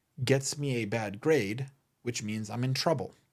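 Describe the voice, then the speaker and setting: With a non-native accent, a man speaks at a fairly slow pace and medium pitch with ordinary pitch variation on a very clean recording over a silent background. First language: not English. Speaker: podcast host and memorabilia business owner. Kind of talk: solo podcast monologue.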